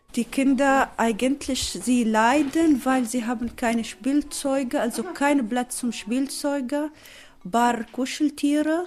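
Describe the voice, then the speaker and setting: Speaking very slowly, a woman with a high voice and a non-native accent uses ordinary pitch variation. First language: not German (speaking German). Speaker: refugee mother. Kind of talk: interview answers. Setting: at home in living room.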